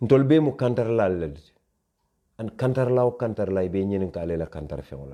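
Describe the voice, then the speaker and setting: In a West African accent, the speaker moves at a very fast pace with a dark, mellow tone and very wide pitch swings. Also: man, fairly low pitch for a man, big swings in loudness. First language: Mandinka. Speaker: online show host. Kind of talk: live social media commentary. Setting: Facebook live stream.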